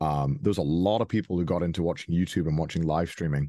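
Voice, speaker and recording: Against a quiet background, a man talks in a Welsh accent. His pitch is very deep and low, with a dark, mellow tone. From Wales. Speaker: YouTube and Twitch personality, voice actor. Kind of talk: interview answer. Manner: casual, hesitant.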